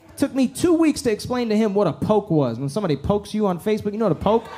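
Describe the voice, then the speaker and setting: With noticeable background noise behind him, a man speaks at a fairly quick pace, his pitch making very wide swings. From Iran, raised in the US. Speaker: stand-up comedian. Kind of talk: stand-up. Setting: comedy club stage with audience. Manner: animated.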